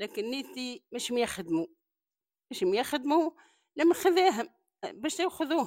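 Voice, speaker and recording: Her voice high in pitch, a woman talks with very wide pitch swings and long, frequent pauses. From Tunisia. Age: 70s. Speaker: elderly woman sharing life story. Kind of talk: personal testimony.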